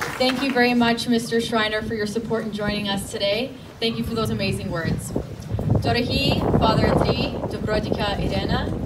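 A woman at a moderate pace with hardly any pauses, amid loud background noise. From Canada, Ukrainian community. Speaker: teacher and rally speaker. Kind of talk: rally speech. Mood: earnest, solemn. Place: street. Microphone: podium.

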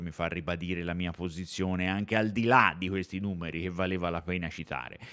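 An animated male voice at a fairly quick pace. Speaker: basketball streamer. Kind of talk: casual chat. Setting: live stream.

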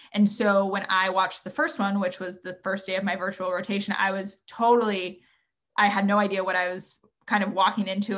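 A woman's flat, monotone delivery in an American accent, over a quiet background. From Northern California. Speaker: medical student; panelist. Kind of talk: webinar panel discussion. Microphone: video call.

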